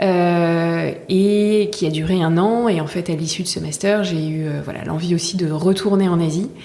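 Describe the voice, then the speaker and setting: Noticeable background noise and audible room echo accompany this recording. A woman with fairly low pitch speaks at a fairly slow pace with fairly even intonation. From Paris region, France. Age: 30s. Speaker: brand co-founder. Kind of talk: podcast interview. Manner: hesitant, many fillers.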